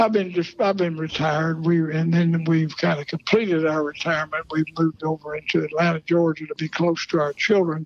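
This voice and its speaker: Speaking at a fairly quick pace with hardly any pauses, a man uses a fairly high pitch and monotone, flat intonation, the sound dry and close with no echo but with noticeable background noise. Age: 80s+. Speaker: retired football coach. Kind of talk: interview. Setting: outdoors at a bar.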